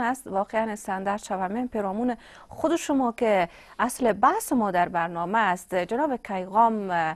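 A woman speaks at a moderate pace in a fairly high voice. Her pitch varies in an ordinary way over a quiet background. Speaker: TV presenter; TV show host. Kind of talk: live TV interview. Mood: polite, formal. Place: studio.

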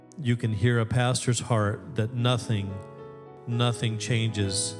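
A man's voice with fairly even intonation and clear music in the background. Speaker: pastor. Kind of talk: sermon. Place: church. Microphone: handheld.

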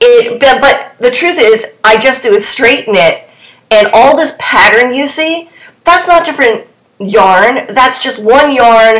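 Over audible room echo, the speaker goes at a slow pace with a fairly bright tone and ordinary pitch variation. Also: woman.

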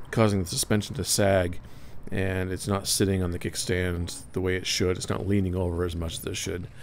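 A man's fairly low-pitched voice carries fairly even intonation over light background noise. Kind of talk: casual vlog chat. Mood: wry, self-deprecating. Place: street. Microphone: helmet.

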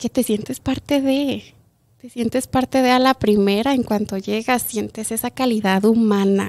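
A woman with a fairly high pitch and fairly even intonation speaks at a fairly slow pace. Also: quiet background. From Chihuahua, Mexico, then Montrose, Colorado; Chihuahua, Mexico. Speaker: kindergarten teacher. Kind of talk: interview. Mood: warm, heartfelt. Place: studio. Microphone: studio mic.

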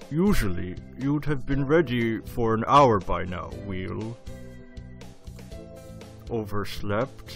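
Over clear music in the background, a man uses a put-on character voice at a medium pitch. He speaks at a very slow pace with long, frequent pauses.

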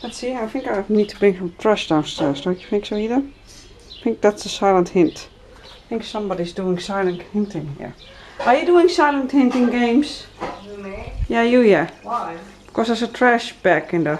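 Light noise sits in the background as a woman talks at a moderate pace. Her loudness swings widely. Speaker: vlogger. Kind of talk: casual vlog chat. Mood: playful, teasing. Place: home room. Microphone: phone near.

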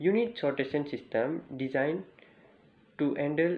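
A man with lively intonation, medium pitch and a fairly slow pace, plus audible room echo

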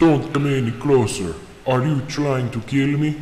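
A man's whiny, put-on character voice at a medium pitch, with slight echo and clear background noise. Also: moderate pace. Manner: paranoid, whiny, scared.

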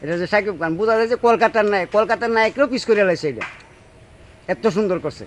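A man speaks with a high pitch and ordinary pitch variation. Light background noise can be heard. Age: old. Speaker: film fan interviewee. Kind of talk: street interview. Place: open country. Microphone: phone near.

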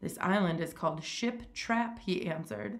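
Reading in a natural voice

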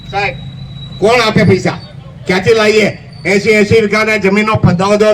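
Amid noticeable background noise, a high-pitched man speaks with fairly even intonation. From Amreli district, Gujarat. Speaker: farmer. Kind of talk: rally speech.

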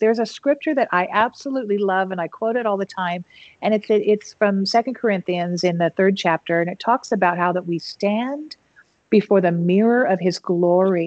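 A woman talks with lively intonation in a dry sound with no echo. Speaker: podcast host and worship singer; podcast host. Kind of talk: interview conversation. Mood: warm, earnest, faith-centred. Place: home room. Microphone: video call.

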